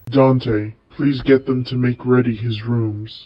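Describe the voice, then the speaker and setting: A man's medium-pitched voice, fairly slow, with monotone, flat intonation. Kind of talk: overwrought fanfic reading. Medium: read story.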